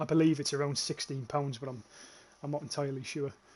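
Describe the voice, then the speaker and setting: A man speaks at a very fast pace in a fairly high, somewhat breathy voice. His intonation stays fairly even. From northeast England. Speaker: gaming streamer. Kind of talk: live gameplay commentary. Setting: livestream. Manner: casual, frequent filler words.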